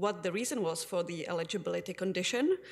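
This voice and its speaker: A woman speaks at medium pitch with a Czech accent. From Czech Republic. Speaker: community advocate; public delegate to city council. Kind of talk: council delegation speech. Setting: city council chamber. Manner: formal. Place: hall. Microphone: podium.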